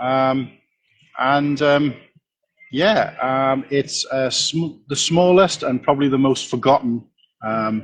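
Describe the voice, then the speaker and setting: A man speaks at a very slow pace, leaving long, frequent pauses. His pitch is fairly high, with ordinary variation. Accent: Welsh. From Wales. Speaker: LEGO content creator. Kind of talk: casual interview.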